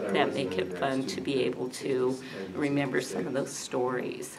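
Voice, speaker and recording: Loud background noise surrounds a woman. She talks at a fairly slow pace. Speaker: interviewee. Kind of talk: interview answer. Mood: warm, nostalgic.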